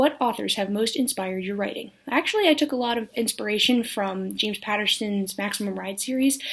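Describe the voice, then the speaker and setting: This woman talks at a fairly high pitch with ordinary pitch variation. She leaves hardly any pauses. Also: fairly quick pace. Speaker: aspiring writer. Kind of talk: casual talk to camera. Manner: awkward, hesitant.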